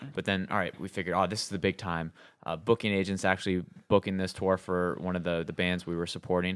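In a very clean recording with a silent background, a man with an American accent talks very fast in a very deep, low, monotone, flat voice. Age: 30s. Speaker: rock band member. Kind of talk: casual interview chat.

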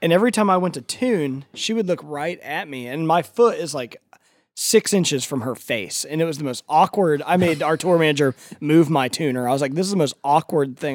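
An unremarkable speaking voice from a man with an American accent, fairly quick, with lively intonation, a very clean recording with a silent background and a dry, close sound with no echo. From US Midwest (Ohio). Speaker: rock band member. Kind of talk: casual interview chat.

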